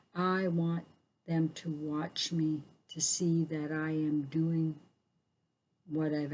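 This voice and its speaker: Somewhat breathy woman's voice, very deep and low in pitch, with a dark, mellow tone. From northwestern Ontario, First Nations (Anishinaabe). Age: 60s. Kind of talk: community talk and teaching. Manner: halting, many fillers.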